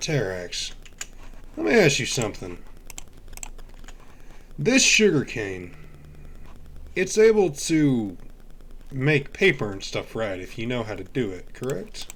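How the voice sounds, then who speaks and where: A raspy, put-on character voice speaks at a fairly slow pace. Long, frequent pauses break up the delivery. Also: man, medium pitch for a man. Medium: machinima. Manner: hesitant, filler-heavy, friendly.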